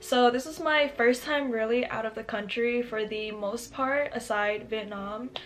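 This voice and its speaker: A woman's fairly high voice at a fairly slow pace, with fairly even intonation, hardly any pauses and noticeable background noise. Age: 20s. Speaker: YouTuber. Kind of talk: storytime vlog. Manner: casual chatty.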